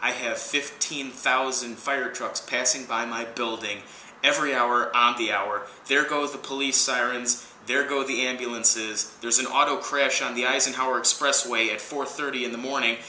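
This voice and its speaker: A man speaks at a moderate pace and a medium pitch. Room echo is audible, and background noise is noticeable. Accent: American. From US Midwest, Chicago. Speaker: video blogger. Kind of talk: casual vlog monologue. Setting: outdoors. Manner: loud; animated.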